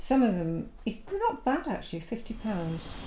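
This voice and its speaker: This is a woman speaking. She has a Yorkshire accent. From West Yorkshire. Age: 70s. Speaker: retired drama teacher. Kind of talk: documentary conversation.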